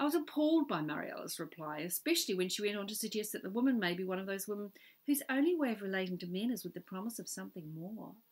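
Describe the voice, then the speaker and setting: Speaking very fast with hardly any pauses, a woman with a New Zealand accent holds a medium pitch and makes very wide pitch swings. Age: 50s. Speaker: author. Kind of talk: reading aloud.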